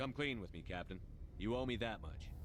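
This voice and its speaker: A man's put-on character voice at a medium pitch and fairly quick pace, over clear background noise. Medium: video game. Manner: direct, firm.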